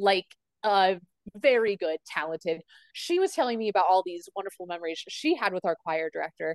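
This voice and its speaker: A woman's medium-pitched voice at a fairly quick pace with ordinary pitch variation, dry and close with no echo. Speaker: podcast guest. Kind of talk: casual chat. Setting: video call.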